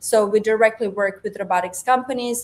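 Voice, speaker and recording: Against noticeable background noise, a woman talks at a fairly high pitch. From Croatia. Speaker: robotics research institute founder. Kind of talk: panel interview.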